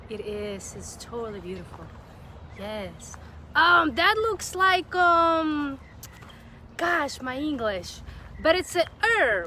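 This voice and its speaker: A woman's high-pitched, raised and projected voice at a very slow pace, with very wide pitch swings, big swings in loudness, long and frequent pauses, and noticeable background noise. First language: not English. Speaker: videographer and live-stream host. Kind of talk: casual interview on a live-stream garden tour. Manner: halting, searching for words.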